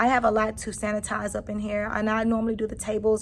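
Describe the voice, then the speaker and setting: A somewhat breathy woman's voice at a fairly quick pace. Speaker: kindergarten teacher and vlogger. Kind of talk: casual vlog. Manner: hurried.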